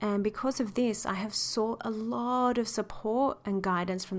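A woman with an Australian accent speaks at a fairly high pitch and a moderate pace. Her pitch varies in an ordinary way, with hardly any pauses. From Sydney, western suburbs. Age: 30s. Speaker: intimacy coach. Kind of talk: solo podcast monologue.

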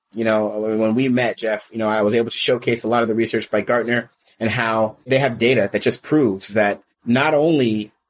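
Using a plain, everyday voice, a man talks in an American accent. His pace is fairly quick and his intonation fairly even. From US West Coast, California Bay Area. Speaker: sales coach and company founder. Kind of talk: interview conversation.

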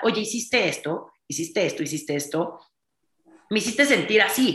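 A woman talks in an animated tone with lively intonation. Her tone is bright and sharp. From Mexico. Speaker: entrepreneur and author. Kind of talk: interview conversation.

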